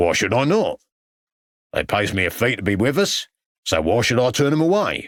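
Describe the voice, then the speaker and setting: In a put-on character voice, a man growls in a gruff, medium-pitched tone at a moderate pace, his pitch swinging very widely while his loudness stays very even, broken by long, frequent pauses. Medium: read story. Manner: gruff, growling, aggressive.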